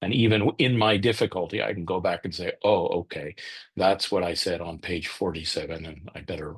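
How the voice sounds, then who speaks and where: Over a quiet background, a man with a very deep, low pitch sounds somewhat breathy and shows ordinary pitch variation. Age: 60s. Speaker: author and business consultant. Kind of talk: webinar interview answer. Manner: halting, many restarts.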